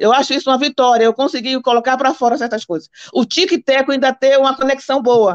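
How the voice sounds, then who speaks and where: Animated and high-pitched, a woman talks at a fairly quick pace with ordinary pitch variation. The sound is dry and close, with no echo. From Brazil, Bahia. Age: 60s. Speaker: ex-Jehovah's Witness, guest. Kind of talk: live stream chat. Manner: fast.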